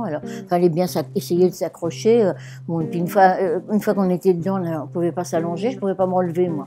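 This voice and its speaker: Over background music, a woman's fairly low voice shows ordinary variation in pitch. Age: 70s. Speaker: elderly social housing tenant. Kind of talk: interview testimony.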